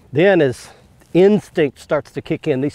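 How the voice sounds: At a moderate pace, a man speaks with a fairly high pitch, a slightly mellow tone and lively intonation.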